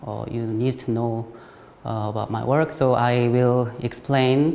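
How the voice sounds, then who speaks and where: A man with a Korean accent speaks at a fairly slow pace and a medium pitch, with noticeable background noise. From South Korea. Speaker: ceramic artist. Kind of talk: artist talk. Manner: halting, many fillers.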